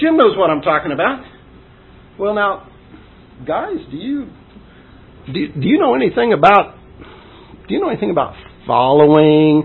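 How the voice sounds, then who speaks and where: Very wide pitch swings from a man at a moderate pace, with noticeable background noise. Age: old. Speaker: preacher. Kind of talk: sermon. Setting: church.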